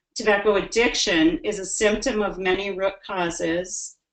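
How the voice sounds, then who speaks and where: Medium pitch and fairly even intonation from a woman with a normal speaking voice. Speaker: public health executive presenting in a webinar. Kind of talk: webinar presentation. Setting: online webinar.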